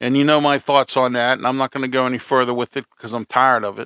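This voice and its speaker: A man with a Pittsburgh accent talks at a fairly quick pace in a bright, sharp tone. The sound is dry and close, with no echo. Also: very clean recording, silent background. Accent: Western Pennsylvania (Pittsburgh). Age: 50s. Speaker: podcast host. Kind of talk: opinion monologue. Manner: animated.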